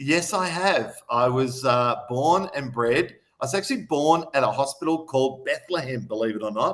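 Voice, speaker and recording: This man talks at a moderate pace with hardly any pauses, using a fairly high pitch, ordinary pitch variation, and an Australian accent. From Australia, Melbourne outer suburbs (Mulgrave). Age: 50s. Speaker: city councillor and business owner. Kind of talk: live radio interview. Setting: radio studio.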